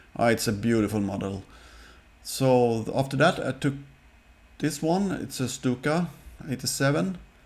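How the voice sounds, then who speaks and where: Recorded very cleanly against a silent background, a man with a non-native accent and a medium pitch speaks with lively intonation and long, frequent pauses. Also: moderate pace. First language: Swedish. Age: 50s. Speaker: scale model hobbyist youtuber. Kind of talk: casual show-and-tell video. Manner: halting, with fillers.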